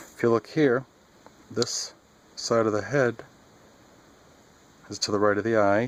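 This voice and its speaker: Soft-spoken, a man talks at a moderate pace with fairly even intonation. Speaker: artist demonstrating drawing. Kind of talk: tutorial. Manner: halting, self-correcting.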